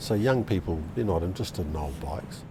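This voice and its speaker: A man talks at a fairly quick pace with lively intonation. Music plays in the background. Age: 60s. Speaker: vintage motorcycle rider. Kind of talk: casual interview.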